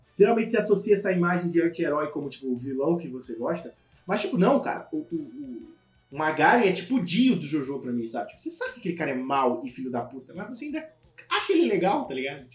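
Over background music, a man talks very fast in a high voice, with very wide pitch swings and big swings in loudness. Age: 20s. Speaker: podcast co-host. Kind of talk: casual chat.

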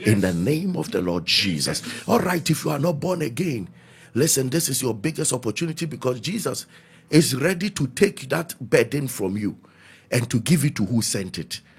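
This man speaks at a moderate pace with a medium pitch. His voice shows very wide pitch swings and vocal fry. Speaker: pastor leading prayer broadcast. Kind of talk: prayer meeting preaching. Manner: loud, fervent and repetitive.

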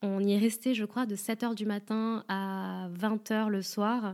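Very clean recording with a silent background, a woman at a fairly high pitch. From France. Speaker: podcaster and stripper. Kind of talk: first-person narration.

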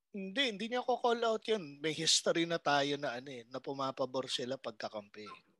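A man with a bright, sharp tone and a fairly high pitch speaks with hardly any pauses and very wide pitch swings. The sound is dry and close with no echo over a quiet background. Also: fairly quick pace. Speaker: comedy podcast host. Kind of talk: casual chat.

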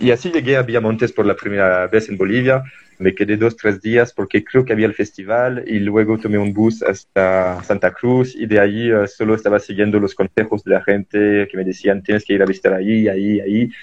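A man talks at a fairly quick pace with hardly any pauses. His pitch is fairly low and his intonation fairly even. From France. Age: 20s. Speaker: traveler and environmental volunteer. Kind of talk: interview. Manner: halting.

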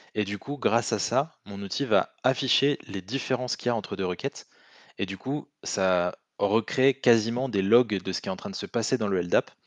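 A man's normal speaking voice, fairly low in pitch with ordinary pitch variation, at a moderate pace, dry and close with no echo over a quiet background. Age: 20s. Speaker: penetration tester. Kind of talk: casual chat.

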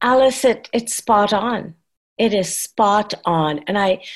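A woman with a medium-pitched voice talks at a very slow pace against a quiet background. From Trinidad. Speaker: nonprofit founder. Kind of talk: casual discussion.

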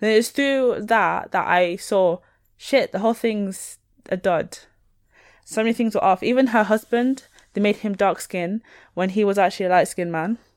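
A woman with a Northern English accent, medium pitch, ordinary pitch variation and a moderate pace. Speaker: podcast co-host. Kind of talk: casual chat. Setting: video call.

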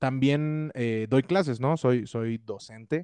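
The recording is dry and close, with no echo. A man talks with ordinary pitch variation at a medium pitch. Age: 20s. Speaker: musician and music teacher. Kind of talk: casual chat.

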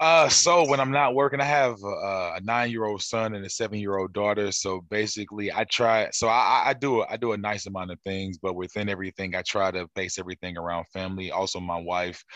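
A man's ordinary speaking voice, fairly low in pitch with ordinary pitch variation, at a fairly quick pace with hardly any pauses over a quiet background. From St. Louis, Missouri. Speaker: soul singer. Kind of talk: casual interview.

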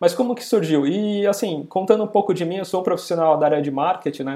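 With ordinary pitch variation, a man's voice carries a dark, mellow tone. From São Paulo, Brazil. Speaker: podcaster and marketing professional. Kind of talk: interview.

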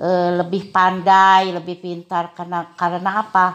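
A woman with an unremarkable speaking voice talks at a fairly slow pace and a medium pitch. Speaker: primary school teacher. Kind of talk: casual interview. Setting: at home.

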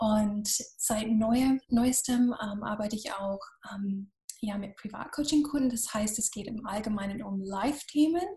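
A woman with an English accent, fairly high in pitch, at a fairly slow pace with ordinary pitch variation. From US, Florida. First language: English (speaking German). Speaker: business coach. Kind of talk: podcast interview.

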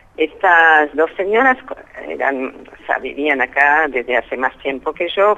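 With lively intonation, a woman speaks at a very deep, low pitch. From France. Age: 80s+. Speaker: Holocaust survivor. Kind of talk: interview.

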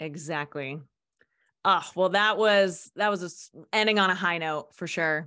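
On a very clean recording with a silent background, a woman with a bright, sharp tone and fairly low pitch speaks fairly slowly, her loudness swinging widely while her pitch varies in an ordinary way. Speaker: podcast host. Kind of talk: casual chat.

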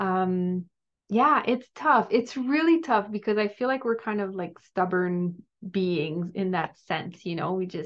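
A woman speaks at a fairly slow pace with a French Canadian accent. Her voice sits at a medium pitch with ordinary pitch variation. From Quebec, Gatineau. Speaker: wellness coach and cookbook author. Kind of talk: podcast interview.

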